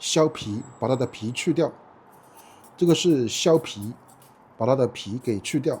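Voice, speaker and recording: Somewhat breathy, a man speaks at a fairly slow pace with lively intonation and long, frequent pauses. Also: medium pitch for a man. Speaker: Chinese language teacher. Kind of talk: slow, clear teaching vlog narration. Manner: slow, clear, repetitive.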